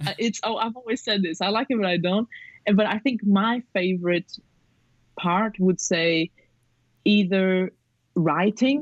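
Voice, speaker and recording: Someone with a non-native accent speaks at a fairly slow pace, with ordinary pitch variation and long, frequent pauses. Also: woman, medium pitch for a woman. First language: not English. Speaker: film photographer and filmmaker. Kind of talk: podcast interview. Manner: rambling, hesitant with fillers.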